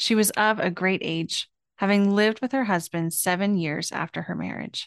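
Against a quiet background, a woman with a Pacific Northwest accent speaks in a warm tone with fairly even intonation. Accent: general American, Pacific Northwest. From US Pacific Northwest. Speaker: pastor and podcast host. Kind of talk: sermon and prayer. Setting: church. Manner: warm, earnest, heartfelt.

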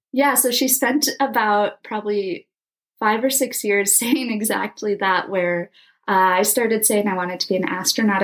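Moderate-paced speech from a woman with an American accent, a normal speaking voice at medium pitch with ordinary pitch variation, on a very clean recording with a silent background. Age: 20s. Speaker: aspiring astronaut and nonprofit founder. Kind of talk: interview.

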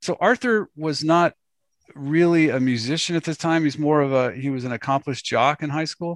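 A man with a fairly high pitch uses an ordinary speaking voice at a moderate pace, with ordinary pitch variation. The sound is dry and close with no echo, over a quiet background. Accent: American. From Los Angeles. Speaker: podcast host. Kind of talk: interview.

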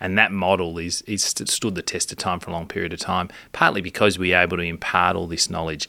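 This man talks at a very fast pace in an Australian accent, with hardly any pauses. His pitch is very deep and low, and his intonation is monotone and flat. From Australia, Melbourne. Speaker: obstetrician, podcast co-host. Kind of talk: casual chat. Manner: halting, repeats words.

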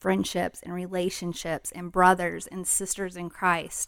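A woman speaks in an ordinary speaking voice. Her pace is moderate and her pitch medium. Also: very clean recording, silent background. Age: 40s. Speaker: podcast co-host. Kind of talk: casual chat.

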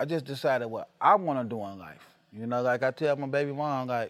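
A man with an American accent speaks in a normal speaking voice. His pitch is medium and varies in an ordinary way. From Chicago South Side. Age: 40s. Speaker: rap artist and music promoter. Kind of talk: casual interview chat. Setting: away on tour in Arizona.

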